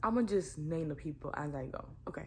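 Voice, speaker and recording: A woman talks at a moderate pace. Room echo is audible around her voice. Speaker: YouTuber. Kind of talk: storytime vlog. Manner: casual, filler-heavy; talking too low.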